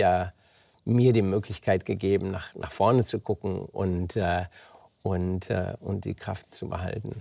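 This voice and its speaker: Over a silent background in a very clean recording, a dark, mellow tone holds fairly even intonation. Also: man. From Germany. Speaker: oncologist and author. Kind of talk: interview. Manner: halting, many fillers.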